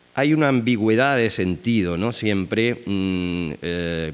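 A man's clear, smooth voice at a fairly slow pace, with ordinary pitch variation

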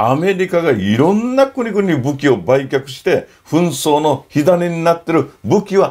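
The background stays quiet. Very wide swings mark the speaker's pitch. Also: man. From Okinawa, Japan. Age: 60s. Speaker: NGO founder and photographer; NPO founder commentator. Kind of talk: informal lecture to camera. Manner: animated. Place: home room.

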